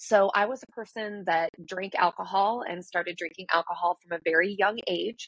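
Recorded with a dry, close sound and no echo, a woman in a plain, everyday voice speaks at a moderate pace and medium pitch, with fairly even intonation, big swings in loudness and hardly any pauses. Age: 40s. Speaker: breakthrough coach and yoga teacher. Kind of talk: interview.

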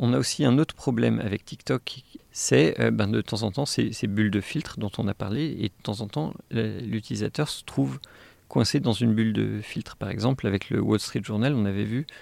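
In a very clean recording with a silent background, a man with a fairly low pitch and vocal fry speaks at a moderate pace with lively intonation. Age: 40s. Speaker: AI engineer and tech whistleblower. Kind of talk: interview. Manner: hesitant, many fillers and repetitions.

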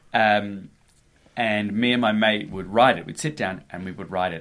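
At a fairly slow pace, a man speaks in a plain, everyday voice, fairly low in pitch with ordinary pitch variation. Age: 30s. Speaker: comedy cabaret performer. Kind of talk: casual chat.

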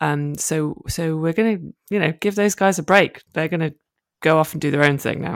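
A woman's very deep, low voice with a British accent and fairly even intonation. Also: moderate pace.

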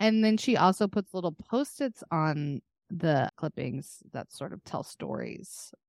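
A woman with an American accent talks at a fairly slow pace and fairly low pitch, with very wide pitch swings and big swings in loudness, in a very clean recording with a silent background and a dry, close sound with no echo. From Texas. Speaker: podcast co-host. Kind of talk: casual chat.

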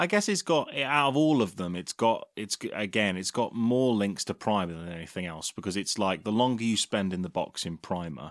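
Against a silent background in a very clean recording, a man speaks at a moderate pace in a fairly low voice. His intonation is lively, a plain, everyday voice. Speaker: podcast co-host. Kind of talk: casual podcast banter.

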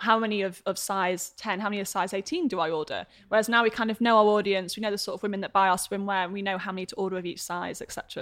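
A woman speaks very fast in a British accent, her pitch medium and her intonation fairly even. The background is quiet. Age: 20s. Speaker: entrepreneur and content creator. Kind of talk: casual chat.

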